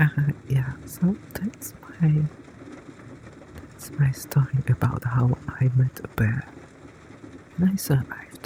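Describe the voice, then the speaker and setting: Soft-spoken and very slow, the speaker leaves long, frequent pauses over noticeable background noise. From grew up in a village. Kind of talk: soft-spoken ASMR companion talk.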